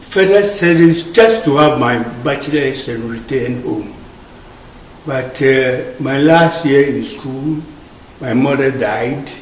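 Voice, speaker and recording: Against noticeable background noise and audible room echo, a man speaks at a very slow pace and a fairly high pitch with ordinary pitch variation. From Ghana. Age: 80s+. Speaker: immigrant interviewee. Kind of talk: interview testimony.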